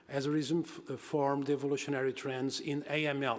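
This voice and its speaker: A man with a Portuguese accent speaks at medium pitch and a moderate pace. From Portugal and Brazil. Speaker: university professor, geographer and economist. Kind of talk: conference talk. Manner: halting, many fillers and repetitions.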